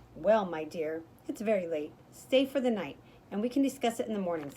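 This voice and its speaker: Putting on a character voice, a woman talks fairly quickly at a medium pitch. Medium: read story. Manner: haughty, judgmental.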